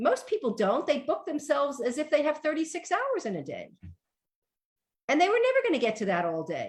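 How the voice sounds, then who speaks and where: A woman talks in a New York accent. Her tone is animated. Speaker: organization coach. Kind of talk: radio interview.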